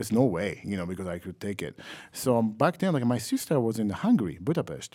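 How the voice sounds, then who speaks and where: A man with a Japanese accent speaks at a fairly quick pace in a medium pitch, his dark, mellow tone moving through very wide pitch swings. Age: 30s. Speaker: trombonist. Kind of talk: interview. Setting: music festival.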